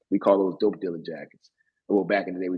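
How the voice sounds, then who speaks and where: A man speaks with a Baltimore accent. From US, Baltimore, Maryland. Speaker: podcast co-host. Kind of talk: casual storytelling chat. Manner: animated, halting with fillers.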